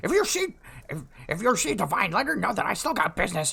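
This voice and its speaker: Raspy and fairly high in pitch, this put-on character voice races along at a very fast pace. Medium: actual play. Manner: blunt, grumbling.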